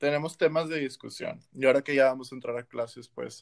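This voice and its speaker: Talking at a fairly quick pace, a man uses a normal speaking voice with medium pitch and fairly even intonation. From Monterrey, northern Mexico. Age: 20s. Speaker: medical student, podcast co-host. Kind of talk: casual chat.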